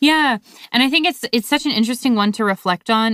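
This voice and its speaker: In a very clean recording with a silent background and a dry, close sound with no echo, a woman with an American accent speaks in an anxious tone at a fairly high pitch with lively intonation. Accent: slight Canadian, sounds mostly American. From Canada. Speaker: podcast co-host. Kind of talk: casual chat. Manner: anxious about recording.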